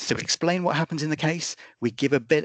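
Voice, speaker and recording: A man with a British accent talks at a very fast pace, his voice recorded dry and close with no echo. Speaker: policing oversight body representative. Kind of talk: webinar presentation.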